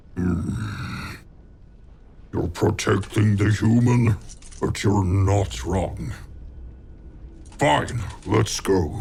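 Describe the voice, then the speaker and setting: Putting on a growling character voice, a man speaks at a fairly low pitch and very slow pace with ordinary pitch variation and long, frequent pauses over clear background noise. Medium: machinima. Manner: curt, commanding.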